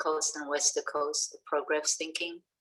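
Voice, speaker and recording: The speaker is a woman with a non-native accent. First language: not English. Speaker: education researcher. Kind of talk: webinar discussion. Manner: halting.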